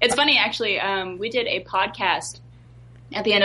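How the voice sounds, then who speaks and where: Moderately paced, a woman talks in a plain, everyday voice with ordinary pitch variation. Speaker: voice actor. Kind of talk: casual chat.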